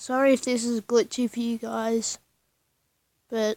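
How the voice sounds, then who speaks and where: Quiet and dark, mellow in tone, a woman speaks at a fairly high pitch in a flat monotone at a fairly slow pace, with a dry, close sound, no echo, and a very clean recording with a silent background. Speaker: gaming YouTuber. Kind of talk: gameplay commentary.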